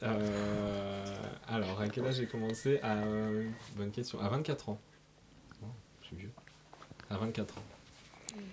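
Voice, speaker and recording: A man with a fairly low voice speaks very slowly and fairly evenly, leaving long, frequent pauses. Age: 20s. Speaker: radio fundraising officer. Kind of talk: interview answering children's questions. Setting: radio studio. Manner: hesitant, many fillers.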